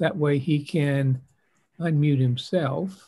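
Against a quiet background, a man with a dark, mellow tone sounds somewhat breathy and keeps his intonation fairly even. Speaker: author and host of the online reading event. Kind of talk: casual welcoming host introduction and sign-off. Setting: video call with live online audience. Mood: warm, festive. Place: home room. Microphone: video call.

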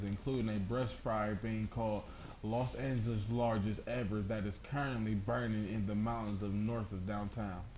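A man talks at a moderate pace in a medium pitch with fairly even intonation. He has an ordinary speaking voice. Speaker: student co-anchor. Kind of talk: television news co-anchor delivery.

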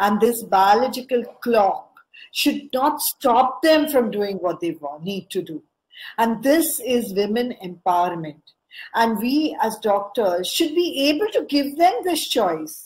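A woman speaks at a fairly high pitch with very wide pitch swings. Her pace is fairly slow. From India. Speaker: fertility specialist; guest. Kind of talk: lecture. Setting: video call.

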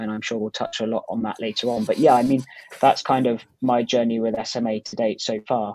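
A man's dry voice with no echo against a quiet background. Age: 20s. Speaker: guest. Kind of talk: interview. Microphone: earbuds.

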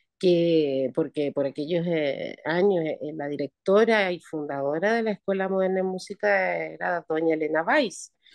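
An unremarkable speaking voice, this woman talks at a fairly low pitch with lively intonation, big swings in loudness and hardly any pauses, in a dry sound with no echo against a quiet background. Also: fairly slow pace. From Chile. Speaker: retired opera singer; guest. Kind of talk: interview. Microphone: video call.

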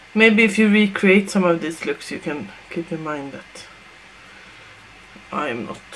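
Against light background noise, the delivery moves at a fairly slow pace with big swings in loudness and long, frequent pauses. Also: woman, fairly low pitch for a woman. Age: 30s. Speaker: makeup tutorial creator. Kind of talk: casual makeup tutorial talk to camera. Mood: relaxed, playful. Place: home room. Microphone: webcam.

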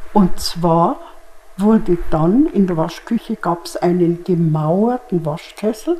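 The pace is very slow as a woman speaks. Her pitch is fairly low, with ordinary variation. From Germany. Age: 80s+. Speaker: contemporary witness. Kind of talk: interview answer. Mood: calm, reminiscing. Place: studio. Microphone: lapel.

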